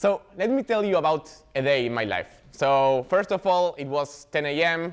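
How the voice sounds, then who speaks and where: A man with an Argentine accent uses lively intonation and a fairly high pitch over a quiet background. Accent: non-native, Argentine. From Argentina, Buenos Aires. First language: Spanish. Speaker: software developer advocate, meetup speaker. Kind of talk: tech talk.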